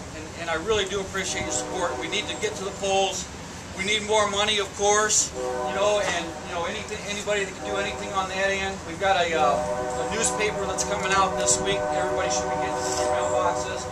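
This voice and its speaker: The speech runs at a very fast pace over loud background noise. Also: man. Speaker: candidate. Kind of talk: campaign stump speech. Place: street. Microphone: camera far.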